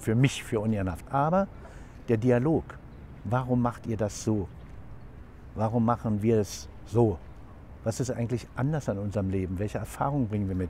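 Over light background noise, in a dry sound with no echo, a man of medium pitch speaks with a dark, mellow tone that is somewhat breathy, with ordinary pitch variation. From East Germany (Frankfurt an der Oder); East Germany. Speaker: member of parliament, former mayor; former mayor. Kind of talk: interview. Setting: outdoors in front of the Reichstag. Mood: warm, moved reflection. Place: open country.

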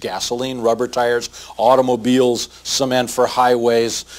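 Moderate pacing from a man. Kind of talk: interview answer. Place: office.

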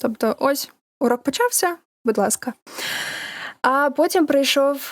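A woman at a very slow pace. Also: dry, close sound with no echo. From Ukraine, Dnipro and Kyiv, raised Russian-speaking. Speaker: voice actor. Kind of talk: casual chat.

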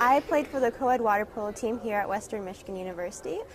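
A woman speaks at a fast pace, her medium pitch moving with ordinary variation.

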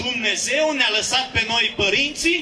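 A man's raised, projected voice in a solemn tone, at a moderate pace with ordinary pitch variation, over light background noise. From Romania. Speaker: pastor. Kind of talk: rally speech with prayer. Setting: outdoor protest rally. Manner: fervent, preaching cadence; solemn, exhortative. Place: street. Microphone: handheld.

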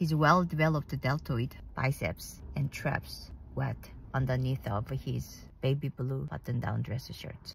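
A woman speaks at a fairly slow pace. The sound is dry with no echo and light background noise. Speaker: vlogger. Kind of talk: casual vlog storytelling. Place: car. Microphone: phone near.

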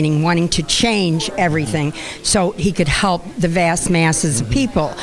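A woman's fairly low-pitched voice, very fast, with lively intonation and light background noise. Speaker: friend of deceased activist. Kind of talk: casual chat. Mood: heartfelt, reflective. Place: studio. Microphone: handheld.

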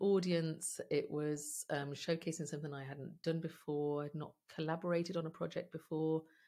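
Against a quiet background, a woman speaks in a fairly low, dark, mellow voice with monotone, flat intonation. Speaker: podcast guest. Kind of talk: interview answer. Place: home room.

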